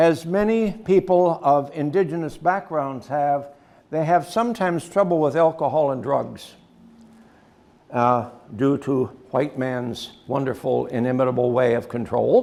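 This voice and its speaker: A man with an American accent speaks at a fairly slow pace in a fairly high pitch. His tone is dark and mellow, and his intonation is lively. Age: 70s. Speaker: local historian and priest. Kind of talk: lecture. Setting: gallery talk with audience. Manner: conversational, with fillers.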